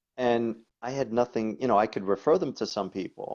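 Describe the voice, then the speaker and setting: Against a quiet background, a man with a New York accent speaks in a dark, mellow tone with ordinary pitch variation. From New York, the Bronx. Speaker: coach and body worker. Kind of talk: interview chat.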